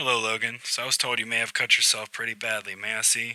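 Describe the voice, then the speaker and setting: A raspy, put-on character voice. It races along at a very fast pace. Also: man, medium pitch for a man. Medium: read story. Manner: measured, professional.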